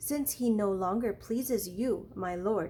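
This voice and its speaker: A woman puts on a strained character voice at a medium pitch, speaking at a fairly slow pace with ordinary pitch variation over clear background noise. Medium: read story. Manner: deferential, restrained.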